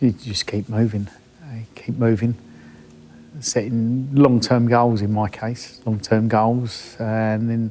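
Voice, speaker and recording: In an English accent, a man of medium pitch talks at a fairly slow pace. His intonation is monotone and flat, with music in the background. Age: 60s. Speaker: roofer and adventurer. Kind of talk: documentary interview.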